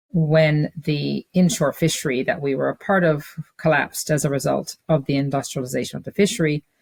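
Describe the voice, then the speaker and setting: A woman's very deep, low voice with a Newfoundland accent. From Newfoundland, Fogo Island. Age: 60s. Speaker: business leader and community founder. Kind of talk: interview.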